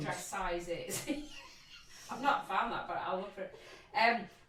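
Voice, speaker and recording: Noticeable background noise sits behind a woman speaking at medium pitch. Her pace is fairly slow, with ordinary pitch variation. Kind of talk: casual podcast chat.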